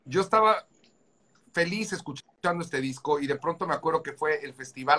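Bright and sharp in tone, a man speaks with a Mexican accent. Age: 40s. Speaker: musician. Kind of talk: casual chat.

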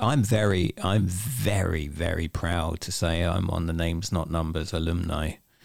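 Hardly pausing at all, a man speaks with a very deep, low pitch. The recording is very clean, with a silent background. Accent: English. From England. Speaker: podcast host. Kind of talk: interview.

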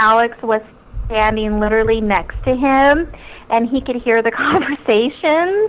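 High female speech against noticeable background noise. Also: very even loudness. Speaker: reality TV guest and first responder. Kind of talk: casual interview. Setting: phone call.

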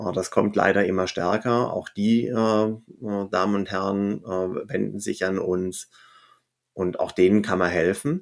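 Very slow and fairly low in pitch, a man talks with fairly even intonation on a very clean recording with a silent background. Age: 50s. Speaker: cooperative founder, former state secretary. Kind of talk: interview.

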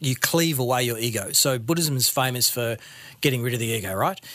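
Fairly quick speech in a man's medium pitch, its pitch movement ordinary. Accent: Australian. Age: 40s. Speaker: ex-monk business owner and coach. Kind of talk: interview conversation.

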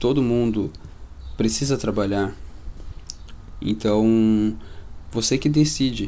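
A man's fairly low voice shows ordinary pitch variation. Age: 20s. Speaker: real estate investor. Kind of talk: casual interview chat. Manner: animated.

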